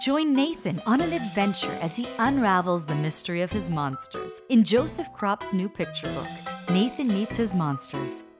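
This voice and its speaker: Over music in the background, a woman at medium pitch speaks at a fairly slow pace with very wide pitch swings. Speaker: voice-over artist. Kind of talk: book trailer narration.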